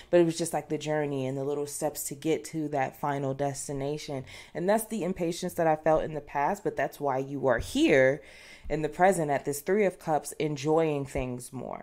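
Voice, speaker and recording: A woman speaks at a moderate pace in a very deep, low voice with a dark, mellow tone. Her intonation stays fairly even against a quiet background. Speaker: tarot reader. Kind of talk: casual tarot reading chat. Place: home room. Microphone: studio mic.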